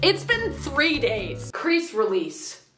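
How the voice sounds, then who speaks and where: A woman's voice with clear music in the background. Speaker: vlogger. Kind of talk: casual vlog chat. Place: bathroom. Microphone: camera far.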